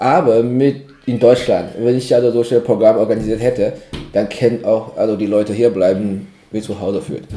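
With a dark, mellow tone, a man talks at a medium pitch and a moderate pace, keeping his intonation fairly even. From China. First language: Chinese (speaking German). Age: 30s. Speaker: cultural exchange organizer. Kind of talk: casual interview. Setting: evening tea session. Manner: halting, many fillers.

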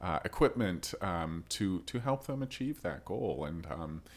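Recorded very cleanly against a silent background, a man with an American accent speaks at a fairly slow pace with ordinary pitch variation. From Rochester, US. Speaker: podcast host. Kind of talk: casual interview.

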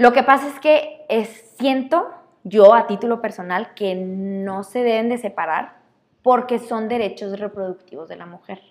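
A woman with a fairly high voice speaks at a fairly slow pace, her loudness swinging widely. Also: lively intonation. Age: 20s. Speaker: lawyer and feminist. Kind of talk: casual interview.

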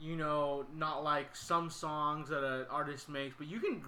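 Fairly even intonation marks an ordinary speaking voice with an American accent. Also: man. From Sacramento, California. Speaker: podcast host. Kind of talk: casual chat.

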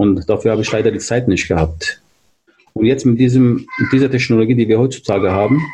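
A man speaks at a medium pitch with fairly even intonation. His pace is fairly quick. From Turkey, moved to Germany at 13. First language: Turkish (speaking German). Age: 40s. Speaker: hobby rapper and DJ, car industry employee. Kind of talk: casual interview. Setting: virtual studio, remote call.

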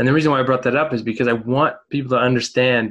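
A plain, everyday voice from a man, medium in pitch, at a fairly quick pace with ordinary pitch variation. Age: 30s. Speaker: podcast host. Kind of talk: interview. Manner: casual.

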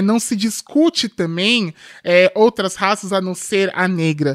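A woman speaks at a fairly slow pace with lively intonation. The recording is very clean with a silent background, dry and close with no echo. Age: 20s. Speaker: tech company executive and activist. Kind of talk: podcast interview.

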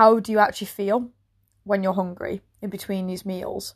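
Someone with an English accent speaks at a moderate pace on a very clean recording with a silent background. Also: woman. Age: 30s. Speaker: personal trainer. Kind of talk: solo podcast monologue. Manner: casual, conversational.

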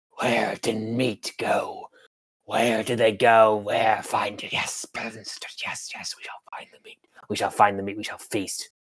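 In a put-on character voice, a man growls and hisses with a raspy sound at a medium pitch. He speaks at a fairly slow pace. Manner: hungry, hissing, broken speech.

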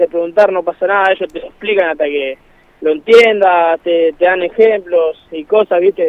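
A man talks at a moderate pace. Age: 20s. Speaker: football player. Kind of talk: interview. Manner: halting.

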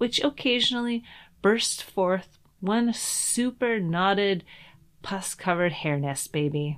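A woman with a Canadian accent and an unremarkable speaking voice talks fairly slowly at a medium pitch with lively intonation. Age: 40s. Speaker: podcast host. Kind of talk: personal essay narration.

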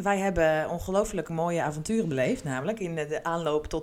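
A woman with a very deep, low voice talks at a moderate pace, her pitch varying in an ordinary way. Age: 30s. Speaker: podcast co-host, HR colleague. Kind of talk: casual chat. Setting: studio-style recording with podcast microphone.

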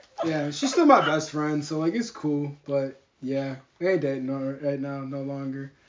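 A man with an American accent, fairly high pitch and moderate pace, amid noticeable background noise. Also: fairly even intonation. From Detroit, east side. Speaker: podcast guest. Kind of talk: casual chat.

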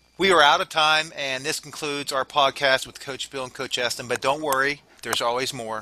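Over noticeable background noise, a man talks at a moderate pace with medium pitch and ordinary pitch variation. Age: 50s. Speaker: fitness coach. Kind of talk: podcast discussion.

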